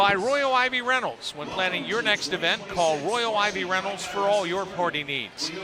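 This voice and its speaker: Moderate-paced male speech amid audible room echo and noticeable background noise. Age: 60s. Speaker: sports broadcaster. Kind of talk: live broadcast chat and sponsor reads. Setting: broadcast at wrestling tournament.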